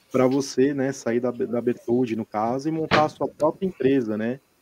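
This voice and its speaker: A man's dark, mellow voice at medium pitch comes through dry and close with no echo. He speaks at a fairly slow pace with ordinary pitch variation. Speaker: podcast co-host. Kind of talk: casual chat. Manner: animated.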